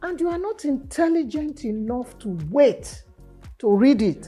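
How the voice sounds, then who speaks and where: Very slow speech with very wide pitch swings over music in the background. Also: woman. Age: 70s. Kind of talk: interview answer.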